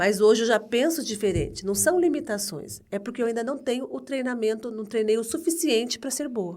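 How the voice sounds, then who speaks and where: Here a woman has an unremarkable speaking voice at a fairly high pitch. She talks at a moderate pace with hardly any pauses. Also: lively intonation. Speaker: HR entrepreneur. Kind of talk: casual interview.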